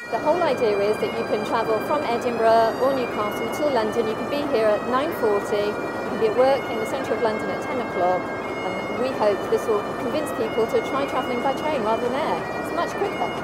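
Dry sound with no echo under loud background noise. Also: fairly quick pace. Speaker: rail company spokesperson. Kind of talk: interview answer. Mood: upbeat promotional. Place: station.

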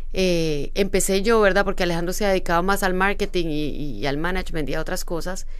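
Fairly quick speech from a woman, with hardly any pauses and fairly even intonation. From Colombia, Medellín. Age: 40s. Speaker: international speaker and author; speaker. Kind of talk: casual interview. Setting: studio, live on Instagram. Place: studio. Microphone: studio mic.

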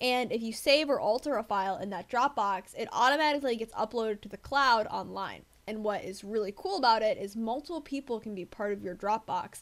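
A woman with an American accent speaks in an unremarkable speaking voice at a fairly quick pace with hardly any pauses, her fairly high pitch showing ordinary variation. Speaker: debate coach. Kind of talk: tutorial.

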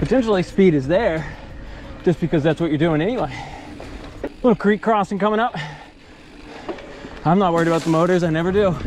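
Speech at a very fast pace, the sound dry with no echo and music playing in the background. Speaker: bike reviewer. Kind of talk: commentary. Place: bicycle.

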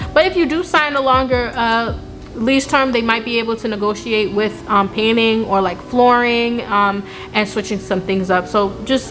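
Someone speaks at a moderate pace with ordinary pitch variation over clear background music. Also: woman. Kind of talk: casual advice vlog. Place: factory.

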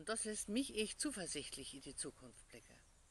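Using vocal fry and very wide pitch swings, a woman speaks in a dry recording with no echo and light background noise. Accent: northern Hessian. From Hesse, Germany. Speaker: pastor. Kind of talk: short devotional in dialect. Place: garden. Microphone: phone near.

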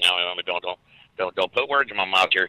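A man with a bright, sharp tone and ordinary pitch variation, at a fairly quick pace, in a dry, close sound with no echo

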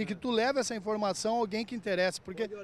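A man with a high-pitched voice is heard in a dry recording with no echo and light background noise. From Rio Grande do Sul, Brazil (Lajeado); Rio Grande do Sul, Brazil. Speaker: truck driver. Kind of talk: casual interview. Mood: earnest complaint, frustrated. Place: street. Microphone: handheld.

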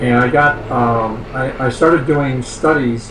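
Male speech with fairly even intonation, audible room echo and light background noise. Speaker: scientist and author; guest. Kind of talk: interview. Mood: calm, reflective storytelling. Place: home room. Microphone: video call.

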